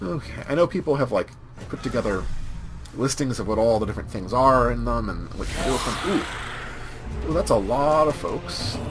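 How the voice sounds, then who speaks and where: Music sounds in the background. The talking proceeds at a moderate pace. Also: man. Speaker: let's play gamer. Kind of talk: gameplay commentary.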